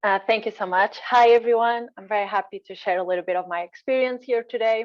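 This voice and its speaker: A woman with a Portuguese accent and fairly even intonation. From Portugal. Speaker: postdoctoral researcher. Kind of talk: webinar presentation.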